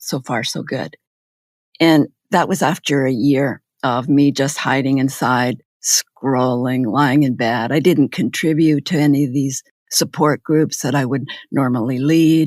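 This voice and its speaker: In a very clean recording with a silent background and a dry, close sound with no echo, a woman with a Canadian accent speaks at a fairly slow pace in a very deep, low pitch. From Canada, Manitoba. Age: 70s. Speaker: retired nursing professor. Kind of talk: interview.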